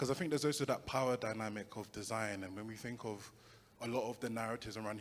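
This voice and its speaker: A man with a medium pitch speaks very fast while noticeable background noise runs beneath him. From London. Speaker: audience member asking a question. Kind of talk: audience question.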